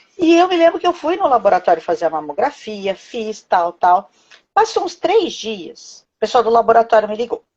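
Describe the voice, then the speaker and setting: The speaker is a woman with a fairly high voice. Her pitch swings very widely. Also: moderate pace. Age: 40s. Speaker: cancer survivor, healthcare worker. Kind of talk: testimony.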